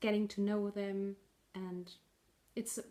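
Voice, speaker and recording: The speaker has a German accent. The delivery is fairly slow and a flat monotone. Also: woman. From northern Germany. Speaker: knitting podcaster. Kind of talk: casual video podcast monologue. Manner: halting, with fillers and restarts.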